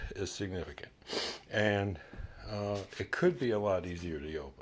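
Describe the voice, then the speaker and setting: The man speaks at a fairly low pitch. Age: middle-aged. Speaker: product reviewer. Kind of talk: casual product review to camera. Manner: hesitant, filler-heavy.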